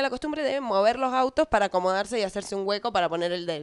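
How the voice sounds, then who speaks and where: A woman with a Rioplatense accent, fairly high in pitch, at a fairly quick pace with very wide pitch swings. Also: quiet background. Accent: Argentine Spanish (rioplatense). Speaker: podcast co-host. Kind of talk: casual chat.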